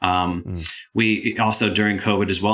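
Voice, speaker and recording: A man speaks at a fairly low pitch with fairly even intonation over noticeable background noise. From Michigan. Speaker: nonprofit chief information officer. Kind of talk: interview.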